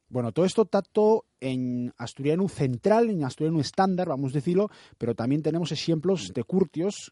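With a dark, mellow tone and a fairly high pitch, a man talks at a fairly quick pace and lively intonation, the sound dry and close with no echo against a quiet background. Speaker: radio host. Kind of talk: radio interview.

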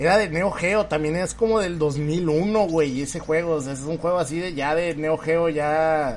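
Room echo is audible as a man talks fairly slowly. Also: fairly high pitch for a man, ordinary pitch variation. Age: 30s. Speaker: podcast host. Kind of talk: casual chat.

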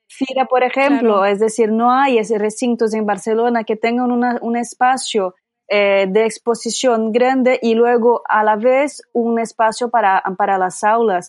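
A woman talks at a fairly slow pace with hardly any pauses and very even loudness. Her pitch is fairly high and her intonation fairly even. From Brazil. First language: Portuguese (speaking Spanish). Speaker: yarn shop owner and festival organiser. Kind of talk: casual chat.

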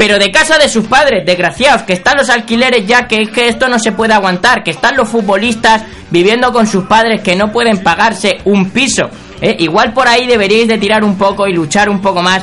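A man speaks at a fairly quick pace in a high, raised and projected voice, with ordinary pitch variation, very even loudness and noticeable background noise. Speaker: podcast host. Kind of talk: comedic monologue. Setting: radio studio. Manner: casual.

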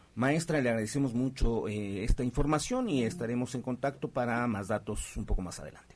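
A man with an unremarkable speaking voice, medium in pitch, fairly quick, with ordinary pitch variation and big swings in loudness. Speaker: radio co-host. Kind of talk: radio talk show.

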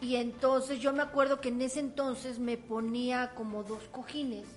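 A woman with a high-pitched voice speaks at a fairly slow pace, her intonation fairly even. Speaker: comedian. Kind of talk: casual chat; event promotion.

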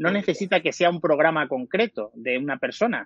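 Here a man has a plain, everyday voice with a fairly high pitch. He talks at a moderate pace with lively intonation. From Extremadura, Cáceres province. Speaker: podcast platform founder. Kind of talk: interview. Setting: live stream.

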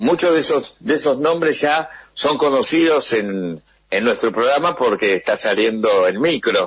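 The voice has vocal fry and very wide pitch swings, keeping a very even loudness at a fairly slow pace. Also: man, fairly high pitch for a man. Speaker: radio host. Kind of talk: interview.

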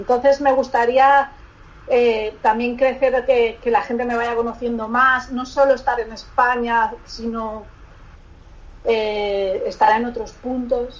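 A woman with a high pitch speaks at a very slow pace in a monotone, flat intonation. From Barcelona, Spain. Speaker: lingerie designer. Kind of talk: interview. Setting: remote call. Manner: halting.

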